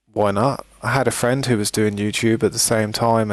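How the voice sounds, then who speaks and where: A man with a strong British accent talks at a moderate pace in a fairly low pitch with fairly even intonation, on a very clean recording with a silent background. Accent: thick British. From Britain. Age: 30s. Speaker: gaming streamer. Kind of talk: live stream chat.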